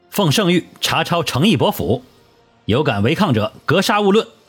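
Over faint music in the background, a man does a put-on character voice at a fairly high pitch and a moderate pace, with big pitch swings and a husky, rough edge.

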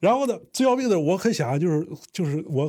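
Heard on a very clean recording with a silent background, a man with a dark, mellow tone speaks somewhat breathily with lively intonation. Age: 30s. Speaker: crosstalk comedian. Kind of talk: interview storytelling.

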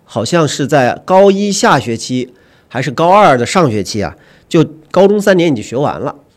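Vocal fry runs through a man's speech at a moderate pace. His pitch swings very widely. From Huanggang, Hubei, China. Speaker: magazine editor. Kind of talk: casual discussion.

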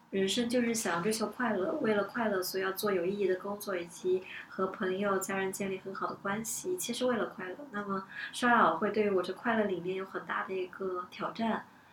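Over noticeable background noise, a woman talks at a fairly quick pace and medium pitch, with fairly even intonation and hardly any pauses. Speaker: event planner. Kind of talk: casual discussion podcast.

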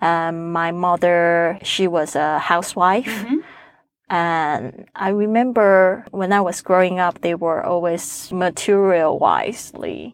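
A woman with a Chinese accent, very slow in pace, with ordinary pitch variation. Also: fairly low pitch for a woman. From Taiwan. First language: Mandarin Chinese. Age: 40s. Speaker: podcaster. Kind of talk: interview. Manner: halting, many fillers.

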